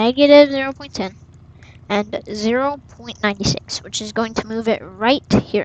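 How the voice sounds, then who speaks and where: At a fairly slow pace, a woman with an unremarkable speaking voice talks at a fairly high pitch, with big swings in loudness. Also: ordinary pitch variation. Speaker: gaming tutorial youtuber. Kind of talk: tutorial.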